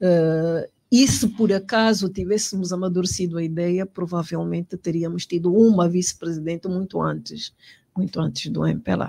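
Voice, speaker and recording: On a very clean recording with a silent background, a woman with a dark, mellow tone and fairly low pitch speaks at a moderate pace with ordinary pitch variation, the sound dry and close with no echo. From Angola, Moxico (Luena). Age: 60s. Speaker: politician. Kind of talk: interview. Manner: halting, many repetitions and fillers.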